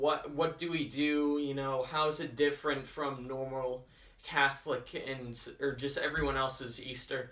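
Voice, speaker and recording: Speaking at a fairly slow pace, a man mumbles in a fairly high pitch. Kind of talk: casual talk to camera. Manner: hesitant, with long pauses, mumbling and stuttering; improvised, conversational.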